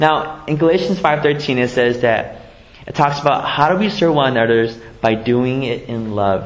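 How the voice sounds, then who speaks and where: Over noticeable background noise, a man with an American accent speaks at a moderate pace. His pitch is fairly high and his intonation lively. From US West Coast, San Jose (Vietnamese refugee family). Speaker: pastor. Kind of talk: sermon. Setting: church. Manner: halting, with repetitions and fillers.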